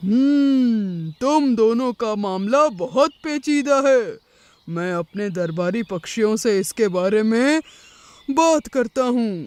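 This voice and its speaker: A cartoonish character voice with a fairly high pitch at a very slow pace. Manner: measured, ends lines with hmm.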